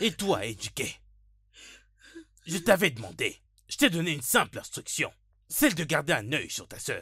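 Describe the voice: Doing a put-on character voice, a man speaks at a moderate pace with long, frequent pauses, a fairly high pitch, big pitch swings, a fairly bright tone and a slightly husky edge, all in a very clean recording with a silent background.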